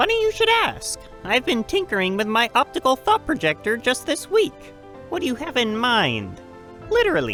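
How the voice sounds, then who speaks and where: A put-on character voice at a moderate pace, with clear music in the background. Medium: audio drama. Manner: lively, warm.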